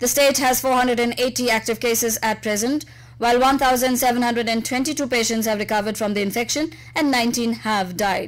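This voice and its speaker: Fairly even intonation carries the speech along at a fairly quick pace. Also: woman, high pitch for a woman. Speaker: radio news reader. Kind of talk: radio news bulletin. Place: studio.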